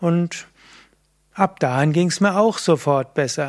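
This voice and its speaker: Using an ordinary speaking voice, a man with a fairly high pitch talks at a fairly slow pace on a very clean recording with a silent background. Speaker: yoga teacher. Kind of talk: tutorial. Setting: video recording.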